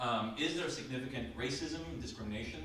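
A man's voice with lively intonation, audible room echo and light background noise. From Denmark. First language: Danish. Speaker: academic panelist. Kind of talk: lecture. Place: classroom. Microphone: camera far.

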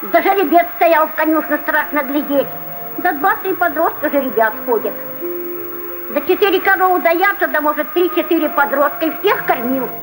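The speaker talks at a moderate pace with lively intonation over noticeable background noise. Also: woman. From Russia. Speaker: peasant. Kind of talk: documentary interview answer. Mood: bitter, lamenting. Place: farm.

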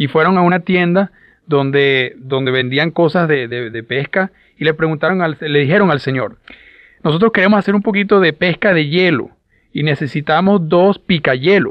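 In a normal speaking voice, a man talks at a moderate pace, his fairly high pitch showing ordinary variation. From Louisiana, US South. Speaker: business motivational speaker. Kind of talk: motivational talk.

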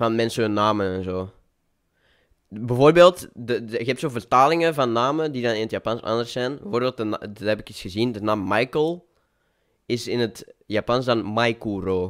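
A man with an Antwerp accent, medium pitch, ordinary pitch variation, a moderate pace and big swings in loudness, on a very clean recording with a silent background. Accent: Antwerp-flavoured Flemish tussentaal. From Belgium, Antwerp. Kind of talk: casual chat.

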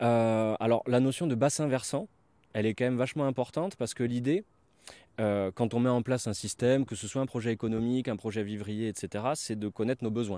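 In a dry sound with no echo, a man talks fairly quickly with ordinary pitch variation and a dark, mellow tone. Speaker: permaculture guide. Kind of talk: guided tour, casual talk. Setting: outdoors, filmed on site. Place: open country. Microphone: handheld.

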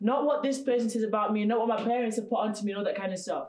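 A woman speaks at a fairly high pitch. Audible room echo and light background noise come through. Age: young. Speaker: event host. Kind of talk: motivational event hosting. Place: classroom. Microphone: camera far.

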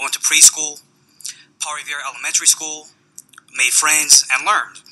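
Speaking with a Californian accent, a man keeps a fairly quick pace. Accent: Californian American. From San Francisco, California. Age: 20s. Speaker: foster youth advocate. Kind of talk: testimony. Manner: reading prepared statement. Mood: earnest, somber personal story. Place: hall. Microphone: podium.

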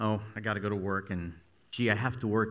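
His intonation is monotone and flat. The man keeps a moderate pace. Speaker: minister giving a talk. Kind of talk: sermon. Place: church. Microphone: headset.

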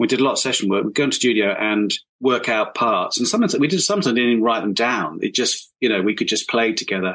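Very fast and with hardly any pauses, a man in a southern English accent talks in a bright, sharp tone at medium pitch, with lively intonation and very even loudness. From southern England, Hampshire. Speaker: brass musician and arranger. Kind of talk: casual chat.

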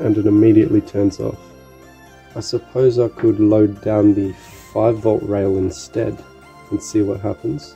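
Faint music plays behind a man with a fairly low pitch and ordinary pitch variation, who talks at a fairly slow pace with long, frequent pauses. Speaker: electronics hobbyist. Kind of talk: casual electronics tutorial narration. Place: home room. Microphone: phone near.

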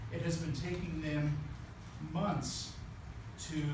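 A man talks at a very slow pace amid noticeable background noise and audible room echo. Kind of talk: press conference statement. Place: meeting room. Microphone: camera far.

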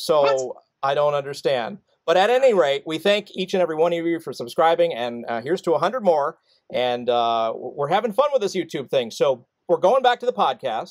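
A man talks at a fairly quick pace with a high pitch and very wide pitch swings. His tone is upbeat, and the background is quiet. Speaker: co-host. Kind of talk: casual chat. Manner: upbeat, jokey, laughs often. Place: home room. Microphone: studio mic.

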